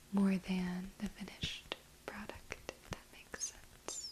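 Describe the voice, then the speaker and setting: A woman whispers very slowly while noticeable background noise carries on behind her. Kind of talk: ASMR crochet video, casual talk to camera.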